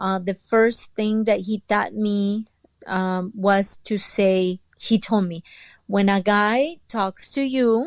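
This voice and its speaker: A very slow, fairly evenly intoned voice with a Spanish accent, on a very clean recording against a silent background. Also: woman, medium pitch for a woman. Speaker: entrepreneur and author. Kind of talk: interview testimony. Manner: hesitant, many fillers.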